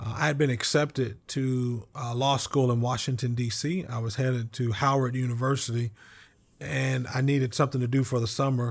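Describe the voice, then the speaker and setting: A man with an American accent speaks fairly quickly at a medium pitch, his intonation fairly even. His voice is somewhat breathy, and the recording is very clean with a silent background. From Oklahoma (Oklahoma City, Lawton). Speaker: bank executive and former state House speaker. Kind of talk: interview. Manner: hesitant with repetitions.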